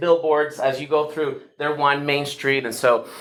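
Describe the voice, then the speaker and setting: A fairly high-pitched man with a Venezuelan accent at a moderate pace. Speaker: pastor. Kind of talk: workshop talk. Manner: hesitant, many fillers.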